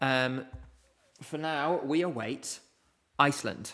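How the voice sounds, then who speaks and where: This man has a British accent. His tone is bright and sharp. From UK. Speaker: streamer, music contest commentator. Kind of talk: live stream commentary and chat Q&A.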